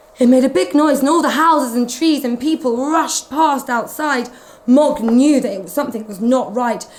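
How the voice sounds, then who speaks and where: Amid noticeable background noise, a woman speaks in a high, animated voice with ordinary pitch variation. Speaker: nanny from England reading to children. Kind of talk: children's storybook reading. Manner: expressive, animated storytelling with animal sounds.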